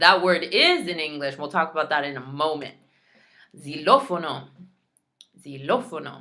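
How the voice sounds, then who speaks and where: A woman's very deep, low voice with a bright, sharp tone, ordinary pitch variation, big swings in loudness and long, frequent pauses. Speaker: Spanish teacher. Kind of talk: tutorial. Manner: slow, repeating each word.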